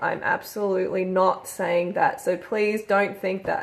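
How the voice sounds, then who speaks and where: A woman talks at a fairly slow pace in a medium pitch. Hers is an unremarkable speaking voice. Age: 30s. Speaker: YouTuber, vegan vlogger. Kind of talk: casual vlog talk. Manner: chatty, with many fillers.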